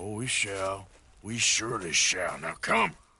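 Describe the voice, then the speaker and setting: A man's put-on character voice, raspy and fairly low in pitch, at a fairly slow pace. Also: fairly even intonation. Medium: video game. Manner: terse, dry.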